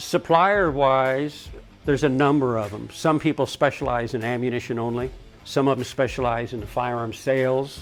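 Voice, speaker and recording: Over music in the background, a man with a medium pitch speaks at a moderate pace with ordinary pitch variation. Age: 70s. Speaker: gunsmith and gun shop owner. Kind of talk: interview answer.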